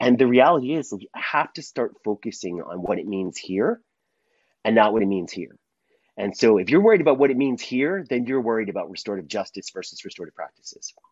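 Talking at a very fast pace, a man with a medium pitch uses lively intonation and big swings in loudness. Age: 50s. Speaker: consultant and author on restorative practices in schools. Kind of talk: interview.

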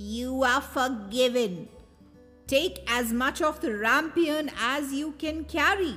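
In a put-on character voice, a woman speaks at a high pitch and a fairly slow pace, with ordinary pitch variation. Faint music plays in the background. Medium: read story. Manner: cold, scornful.

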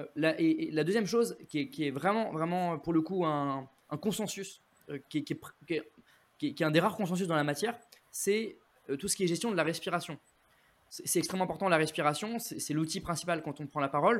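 A man talks at a fairly quick pace with a high pitch and ordinary pitch variation, leaving long, frequent pauses. The recording is very clean, with a silent background. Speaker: public speaking coach. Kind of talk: interview. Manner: frequent word repetitions.

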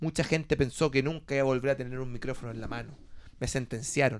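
A man talks at a fairly quick pace with a Chilean accent. His pitch is fairly high and his intonation fairly even. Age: 20s. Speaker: podcast host. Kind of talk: casual chat.

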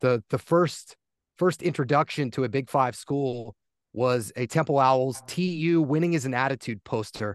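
With an American accent, a man uses an unremarkable speaking voice at a medium pitch, at a fairly slow pace and with ordinary pitch variation. The sound is dry and close with no echo, over a quiet background. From US Northeast, Poconos, Pennsylvania. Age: 30s. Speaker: play-by-play announcer. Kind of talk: casual chat.

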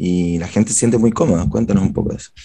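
Fairly low in pitch, this man's voice sounds dark and mellow. He is the one speaking here. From Chile. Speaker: podcast host, publicist. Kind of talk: casual interview.

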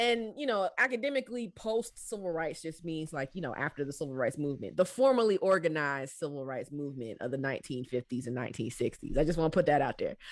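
Someone with a Southern US accent talks at a fairly quick pace with hardly any pauses. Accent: Southern US, shifted from DMV. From Washington DC area, later US South. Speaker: professor and author. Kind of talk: interview conversation. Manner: fast talker.

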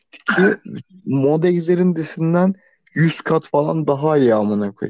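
A man speaks with ordinary pitch variation. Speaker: podcast co-host. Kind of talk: casual chat. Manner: sleepy-sounding.

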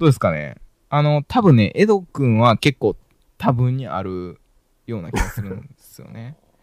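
At a moderate pace, a man speaks at medium pitch with very wide pitch swings and big swings in loudness. The sound is dry and close, with no echo. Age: 30s. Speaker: podcast host. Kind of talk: casual chat. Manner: animated, frequent laughter.

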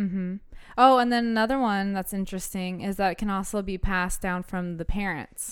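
A woman speaks at a fairly quick pace with an American accent in a normal speaking voice, her intonation fairly even and her pitch medium. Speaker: podcast host. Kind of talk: casual chat, reading from notes. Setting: studio, recording with microphone.

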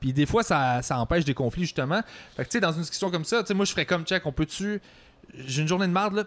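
A man with a Quebec accent speaks at a fairly high pitch with lively intonation. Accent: Québécois French. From Quebec (Longueuil). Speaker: podcast host. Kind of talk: casual chat.

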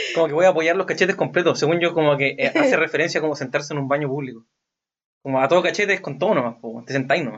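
Speaking very fast with a Chilean accent, a man uses a fairly high pitch and ordinary pitch variation. The recording is very clean, with a silent background. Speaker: podcast co-host. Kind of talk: casual chat. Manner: fast, occasional stutter.

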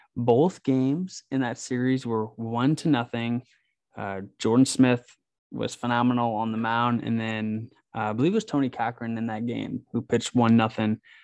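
Against a quiet background, a man with an unremarkable speaking voice talks at a moderate pace, with medium pitch and fairly even intonation. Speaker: podcast host. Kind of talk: casual chat. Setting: hotel room.

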